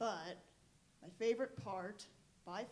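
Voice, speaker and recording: A woman talks at a very slow pace. Audible room echo surrounds her voice. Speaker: youth group leader. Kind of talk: testimony. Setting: stage in church. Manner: loud.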